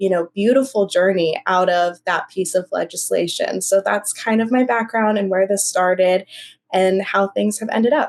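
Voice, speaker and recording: An unremarkable speaking voice: a woman at medium pitch, in an American accent, with fairly even intonation. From US. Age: 20s. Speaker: human rights activist. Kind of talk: podcast interview.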